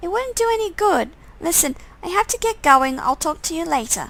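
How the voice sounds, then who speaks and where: Using a squeaky, put-on character voice, a woman talks at a moderate pace with extremely high pitch and very wide pitch swings. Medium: game stream.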